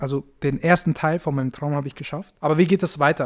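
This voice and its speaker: A man with a fairly high voice, recorded very cleanly against a silent background. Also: dry, close sound with no echo. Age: 20s. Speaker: podcast host and agency owner. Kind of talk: casual solo podcast monologue. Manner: casual, with many filler sounds.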